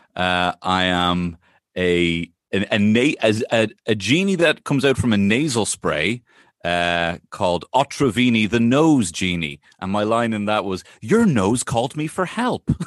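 A man's fairly low voice at a fairly slow pace, lively in intonation, with a dry, close sound, no echo, and a quiet background. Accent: Irish. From Ireland. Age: 30s. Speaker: comedian. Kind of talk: casual chat.

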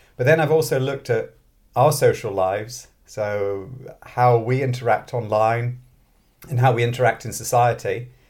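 A man talks at a moderate pace with a medium pitch. His voice is somewhat breathy, and his intonation is fairly even. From born in London, grew up in Scotland. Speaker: mathematics professor and author. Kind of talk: interview conversation.

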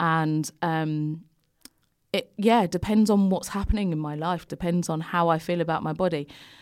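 At a moderate pace, a woman with a London accent speaks in a fairly low pitch with fairly even intonation on a very clean recording with a silent background. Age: 30s. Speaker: fashion and body image influencer. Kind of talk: casual interview chat. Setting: studio.

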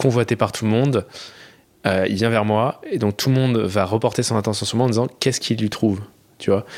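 A man talks in an ordinary speaking voice at a fairly quick pace, with fairly low pitch and fairly even intonation, in a very clean recording with a silent background. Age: 20s. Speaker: podcast listener sharing experiences. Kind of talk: casual chat.

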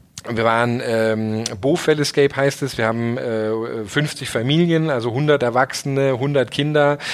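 Noticeable background noise sits behind the voice. A man talks at a fairly slow pace with fairly even intonation. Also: medium pitch for a man, hardly any pauses. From southern Germany. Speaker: startup founder and CEO. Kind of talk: interview.

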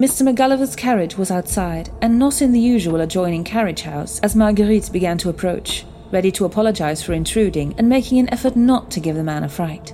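Talking at a fairly quick pace with hardly any pauses, a woman uses lively intonation at a medium pitch. Noticeable background noise runs underneath. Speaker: storyteller. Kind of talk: horror story narration, period tale read aloud in dramatic storytelling style.

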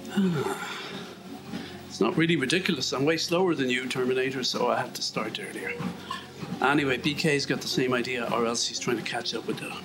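Against noticeable background noise, a man with an Irish accent and a fairly high pitch talks fairly quickly but with long, frequent pauses. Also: lively intonation. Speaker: vlogger walking on treadmill. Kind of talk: casual monologue. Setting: indoors on a treadmill. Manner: fast.

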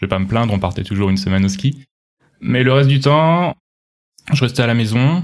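A man speaks in a medium pitch. The recording is very clean, with a silent background. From France, Touraine (Loir-et-Cher). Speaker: former software engineer turned baker. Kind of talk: casual interview chat. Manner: halting, frequent hesitations.

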